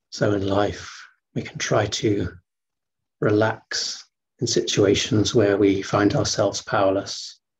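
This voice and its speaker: A man talks at a fairly slow pace, his voice somewhat breathy. His intonation stays fairly even over light background noise. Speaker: qigong teacher. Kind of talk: guided meditation. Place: home room. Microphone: webcam.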